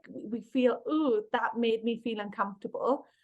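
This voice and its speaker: Here a woman speaks in a Welsh accent at a fairly high pitch. Her pace is moderate. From Wales. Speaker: workplace bullying consultant and author. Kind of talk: podcast interview.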